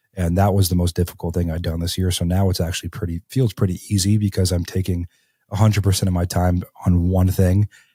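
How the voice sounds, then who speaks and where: In a very clean, silent recording with a dry, close sound and no echo, a man talks very fast in a somewhat breathy, very deep, low voice with a dark, mellow tone and monotone, flat intonation. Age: 20s. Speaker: real estate entrepreneur. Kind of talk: podcast interview. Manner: casual, many fillers.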